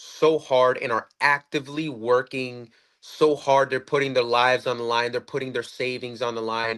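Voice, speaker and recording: Against a quiet background, a man talks at a fairly slow pace with a bright, sharp tone. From Puerto Rico, then US mainland. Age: 20s. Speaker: libertarian debate guest. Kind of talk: casual political debate. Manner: animated, repetitive, swears often.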